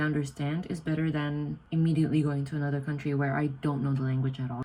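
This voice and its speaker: A woman speaks with an Indonesian accent. Her pitch is very deep and low. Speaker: vlogger, exchange student. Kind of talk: casual vlog. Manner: stutters, self-corrects; animated.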